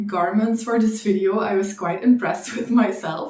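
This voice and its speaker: Through audible room echo, a woman speaks at a medium pitch with fairly even intonation. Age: 20s. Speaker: knitting vlogger. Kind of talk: casual chat.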